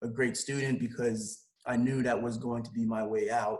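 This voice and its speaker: A man at a medium pitch with a Haitian accent, at a moderate pace. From Haiti, then Belle Glade, Florida from age 11. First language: Haitian Creole. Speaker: sports agent and lawyer. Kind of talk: podcast interview.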